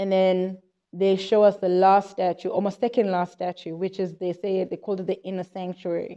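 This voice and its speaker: A woman speaks at a moderate pace and medium pitch in a dark, mellow tone. Her intonation is monotone and flat, over a quiet background. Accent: South African. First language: Xhosa. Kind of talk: informal Bible teaching monologue. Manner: halting, with repetitions.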